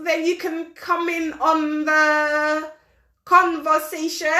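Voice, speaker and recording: With a London accent, a woman speaks in a raised, projected voice with a bright, sharp tone. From London, England. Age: 40s. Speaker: talk show host. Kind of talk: live-stream chat reading horoscopes. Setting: live audio stream on social media.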